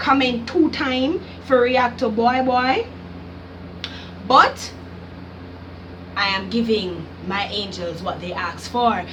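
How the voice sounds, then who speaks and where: Amid noticeable background noise and audible room echo, a woman with a Jamaican accent speaks in a fairly high pitch. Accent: Jamaican patois-inflected English. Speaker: YouTuber, music reactor. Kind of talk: casual vlog reaction. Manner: animated.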